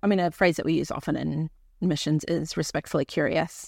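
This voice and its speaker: In a very clean recording with a silent background, a woman talks at a moderate pace with a fairly low pitch and vocal fry. The sound is dry and close, with no echo. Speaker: missionary and church planter. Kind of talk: casual interview conversation. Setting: mobile studio, on location.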